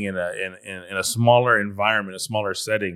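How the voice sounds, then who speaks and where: On a very clean recording with a silent background, a man with an American accent speaks at a moderate pace, his fairly low voice bright and sharp, his intonation fairly even. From California. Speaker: pastor. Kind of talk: interview.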